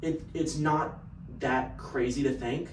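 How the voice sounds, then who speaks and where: Speaking with a slight Texan accent, a man talks at a fairly slow pace with fairly even intonation, amid audible room echo and noticeable background noise. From Texas. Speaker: sales business owner. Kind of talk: casual vlog monologue.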